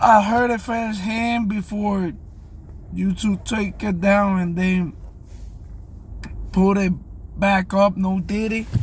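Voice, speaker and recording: A man with a non-native accent speaks at a very slow pace and high pitch, in a monotone, flat intonation with long, frequent pauses. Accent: non-native English, self-described. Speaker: music reaction youtuber. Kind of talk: casual video reaction commentary. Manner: casual, hesitant with fillers.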